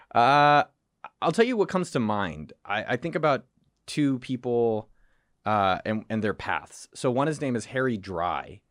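An American-accented man talks at a medium pitch and fairly slow pace with lively intonation. The recording is very clean with a silent background. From California (Cupertino). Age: 30s. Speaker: entrepreneur. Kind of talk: casual chat.

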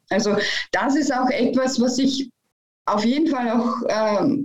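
Audible room echo around a woman's high-pitched voice. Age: 40s. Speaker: business mediator and coach. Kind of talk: interview.

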